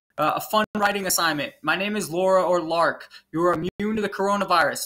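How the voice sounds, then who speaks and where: At a fairly quick pace, a man speaks in a raised, projected voice with a high pitch. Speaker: fourth grade teacher. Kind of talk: video lesson for pupils. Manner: fast; casual, filler-heavy.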